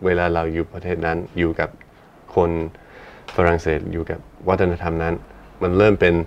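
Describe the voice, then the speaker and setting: Over noticeable background noise, a man with an English accent speaks in a very deep, low pitch with monotone, flat intonation. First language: English (speaking Thai). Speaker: musician and podcast co-host. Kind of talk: casual chat. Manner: halting, self-correcting.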